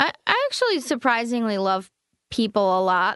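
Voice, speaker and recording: The speaker has a Californian accent and a moderate pace. The background is quiet. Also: woman. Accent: Californian American. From US West Coast, East Bay (Oakland, California). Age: 20s. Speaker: stand-up comedian. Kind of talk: casual chat. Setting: studio.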